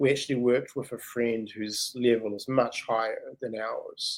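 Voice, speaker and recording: This man has a New Zealand accent. He talks at a fairly slow pace. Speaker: writer and English teacher. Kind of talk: interview answer. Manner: casual, conversational.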